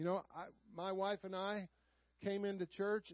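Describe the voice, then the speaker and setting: A man speaks with a Southern US accent at a high pitch. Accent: Southern US drawl. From US South. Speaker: Sunday school teacher. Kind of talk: sermon. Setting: church.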